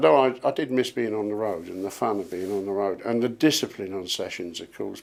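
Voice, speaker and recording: Speaking with an English accent, a man talks at a fairly quick pace with hardly any pauses, at a fairly low pitch and with lively intonation. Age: 60s. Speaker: session drummer. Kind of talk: interview.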